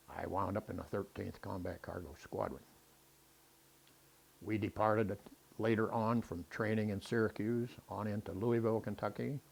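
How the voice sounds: Fairly even intonation and a moderate pace carry a slightly mellow tone with a slightly husky edge and vocal fry. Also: man, fairly low pitch for a man.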